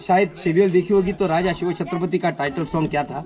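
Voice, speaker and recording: A man talks at a moderate pace. Crowd noise can be heard behind him. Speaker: tour guide. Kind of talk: guided tour explanation. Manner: passionate.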